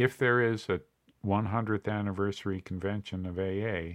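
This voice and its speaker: A man with an unremarkable speaking voice talks at a fairly slow pace. His pitch is fairly low and his intonation fairly even. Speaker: podcast host on addiction recovery. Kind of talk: scripted narration.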